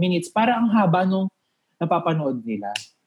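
A man talks with a high pitch. His voice swings very widely up and down. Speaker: YouTube content creator. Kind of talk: casual chat. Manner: animated.

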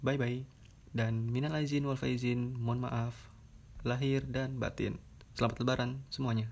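A man talks at a medium pitch, his intonation monotone and flat and his loudness very even. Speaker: podcast host. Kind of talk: casual solo monologue. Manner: rambling, fast, filler-heavy.

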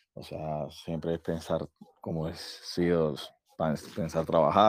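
Very deep and low, a man's voice comes through in a monotone, flat intonation with a dry, close sound and no echo. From Venezuela, Valencia. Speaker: caller asking about emigration. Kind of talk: casual chat.

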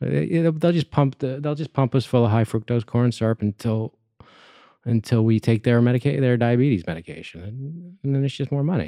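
Against a quiet background, a man with an American accent speaks at medium pitch and a fairly quick pace with lively intonation. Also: dry, close sound with no echo. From Colorado. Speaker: realtor and friend of host. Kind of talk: casual conversation interview. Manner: soft-spoken, gets animated when passionate; halting, repeats words.

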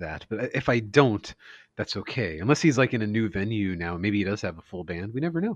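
A man with an American accent speaks in a plain, everyday voice, his fairly low pitch rising and falling in lively intonation, recorded dry and close with no echo against a quiet background. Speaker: music podcast co-host. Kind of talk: casual chat. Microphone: connection cutting out, voice speeding up and slowing.

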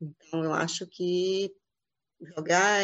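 A woman speaks in a flat, monotone way. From Bahia, Santo Antônio de Jesus. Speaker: architect and film director. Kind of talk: interview.

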